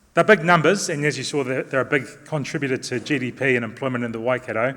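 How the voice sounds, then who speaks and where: Talking very fast in a New Zealand accent, a man uses a medium pitch with ordinary pitch variation. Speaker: construction company director. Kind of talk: conference talk.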